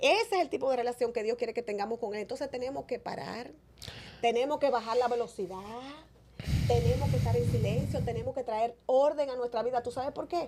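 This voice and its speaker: Noticeable background noise sits behind a woman talking at a fairly quick pace in a high voice with ordinary pitch variation. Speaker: evangelist preacher. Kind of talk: interview with preaching. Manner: natural, conversational.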